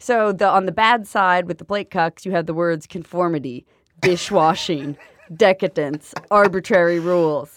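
A woman with an unremarkable speaking voice, fairly low in pitch, talks at a moderate pace with ordinary pitch variation in a dry, close sound with no echo. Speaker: podcast co-host. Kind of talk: casual chat. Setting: studio. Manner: laughs often.

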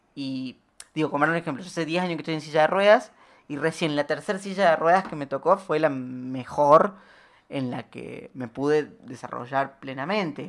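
A woman with a very deep, low pitch talks at a moderate pace, using ordinary pitch variation and big swings in loudness, in a very clean recording with a silent background. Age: 20s. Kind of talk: radio interview. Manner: halting.

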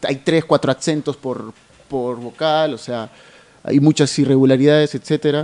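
Monotone and flat, a man speaks at a fairly high pitch with a dark, mellow tone and a moderate pace. The sound is dry and close, with no echo. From Tacna, southern Peru. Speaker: theatre actor. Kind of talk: radio interview. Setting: radio studio.

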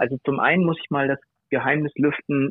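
The voice is a man's. It sits at a medium pitch. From northern Germany, Bad Oldesloe between Hamburg and Lübeck. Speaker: hobby griller and food blogger. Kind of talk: casual interview chat. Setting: phone or remote call. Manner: hesitant with many fillers.

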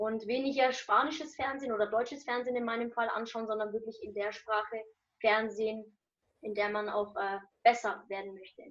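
A woman with a plain, everyday voice, fairly high pitch, fairly even intonation, a fairly quick pace and big swings in loudness. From Germany, Nuremberg. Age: 20s. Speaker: student and social media motivational creator. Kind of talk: interview.

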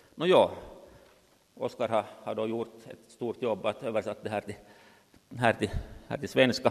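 Pausing long and often, a man at medium pitch speaks with ordinary pitch variation and big swings in loudness. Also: fairly slow pace. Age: 60s. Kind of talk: lecture. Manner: halting.

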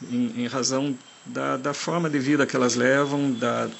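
Over noticeable background noise, a man talks fairly slowly at a medium pitch in a monotone, flat delivery. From Germany. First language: German (speaking Portuguese). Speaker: forest engineer and park manager. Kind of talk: recorded interview answers. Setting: outdoors in a national park. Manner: halting.

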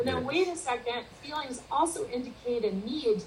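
The woman's pitch is fairly high, with ordinary pitch variation. Audible room echo surrounds her voice. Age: 50s. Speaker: wellbeing and leadership consultant. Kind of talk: interview.

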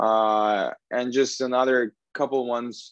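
A man's monotone, flat voice in a dry, close sound with no echo. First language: Russian. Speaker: professional hockey player. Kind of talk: casual chat. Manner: halting, many fillers.

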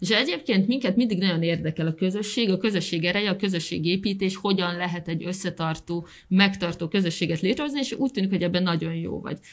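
At a very fast pace with hardly any pauses, a woman speaks in a medium pitch with ordinary pitch variation. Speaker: podcast co-host. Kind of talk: interview. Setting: studio.

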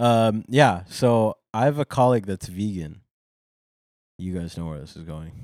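A man with a fairly low pitch talks in a normal speaking voice at a moderate pace, with lively intonation and big swings in loudness. The recording is very clean, with a silent background. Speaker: podcast co-host. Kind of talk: casual banter comedy chat.

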